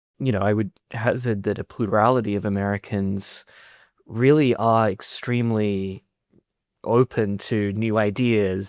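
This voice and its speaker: With an Australian accent and a fairly low pitch, a man speaks at a fairly slow pace with fairly even intonation and long, frequent pauses, in a dry, close sound with no echo on a very clean recording with a silent background. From Australia (Sydney). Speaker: journalist. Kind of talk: podcast interview.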